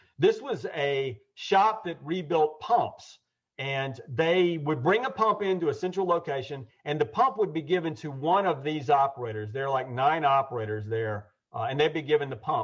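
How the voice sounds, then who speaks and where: Someone with a Southern US accent speaks in a lively intonation over a quiet background. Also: man, fairly high pitch for a man. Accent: Southern American. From US South, Georgia (Atlanta). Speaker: Lean Six Sigma consultant and trainer. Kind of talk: webinar presentation. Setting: online webinar. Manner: fast.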